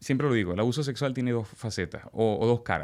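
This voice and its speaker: A man with a Venezuelan accent, medium pitch and ordinary pitch variation, on a very clean recording with a silent background. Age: 40s. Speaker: testimony guest. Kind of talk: testimony.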